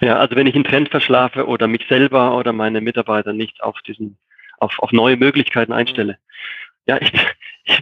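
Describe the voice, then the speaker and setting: Medium pitch from a man with a normal speaking voice, a fairly quick pace and fairly even intonation. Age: 40s. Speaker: software company co-founder and master painter. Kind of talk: interview.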